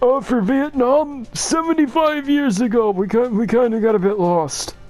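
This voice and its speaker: Clear music plays in the background as a man does a put-on character voice at an extremely high pitch and a moderate pace. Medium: game stream.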